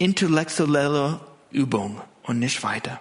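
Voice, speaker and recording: A man with a non-native accent, fairly high in pitch, at a very slow pace. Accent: foreign accent in German. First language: not German (speaking German). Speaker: pastor. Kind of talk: sermon. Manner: hesitant, many fillers.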